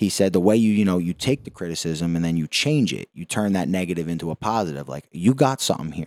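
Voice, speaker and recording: Talking at a very fast pace with hardly any pauses, a man with a Philadelphia accent and a very deep, low pitch uses lively intonation, in a dry, close recording with no echo that is very clean, with a silent background. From South Philadelphia, US. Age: 20s. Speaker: boxing gym owner and trainer. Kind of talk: casual interview chat. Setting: in a boxing gym.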